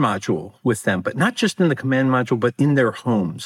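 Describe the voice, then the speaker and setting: A man's ordinary speaking voice with an American accent, medium in pitch and lively in intonation, dry and close with no echo. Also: very clean recording, silent background. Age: 60s. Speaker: author. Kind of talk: interview.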